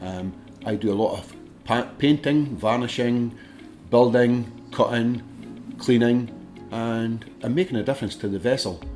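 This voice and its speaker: With music in the background, a man in a Dundee accent speaks at a moderate pace and medium pitch, with ordinary pitch variation. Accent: Scottish (Dundee). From Dundee, Scotland. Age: 60s. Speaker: ship maintenance worker. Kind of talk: interview answer.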